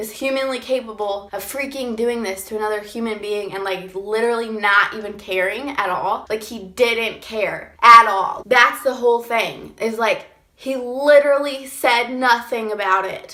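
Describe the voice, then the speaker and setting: Amid noticeable background noise, a woman speaks fairly slowly with hardly any pauses, fairly even intonation and big swings in loudness. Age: 20s. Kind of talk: casual storytime talk to camera.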